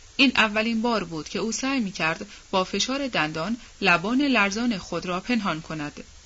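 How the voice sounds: Lively intonation from a natural reading voice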